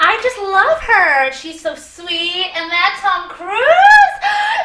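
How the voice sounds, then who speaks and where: A squeaky, put-on character voice speaks at a very slow pace. It uses lively intonation and big swings in loudness. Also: woman, extremely high pitch for a woman. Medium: audio drama. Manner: sarcastic, wisecracking.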